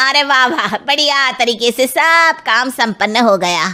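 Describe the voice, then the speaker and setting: A woman's cartoonish character voice, high-pitched with lively intonation. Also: moderate pace. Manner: condescending, bossy.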